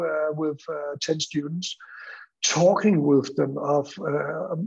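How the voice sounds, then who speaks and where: With a Danish accent, a man speaks fairly slowly at a fairly high pitch, his intonation fairly even, over a quiet background. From Denmark. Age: 60s. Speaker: school principal; school teacher presenting. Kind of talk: conference presentation. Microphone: video call.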